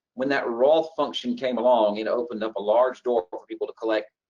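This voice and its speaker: The voice carries a Southern US accent. It moves at a fairly quick pace. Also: man. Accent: Southern US (Georgia). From Georgia, US South. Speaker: financial planner. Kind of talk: webinar presentation.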